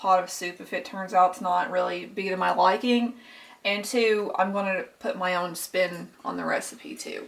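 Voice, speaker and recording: A woman with a Kentucky accent, medium pitch and a fairly slow pace. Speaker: cooking vlogger. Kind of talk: cooking tutorial. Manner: casual, with filler words.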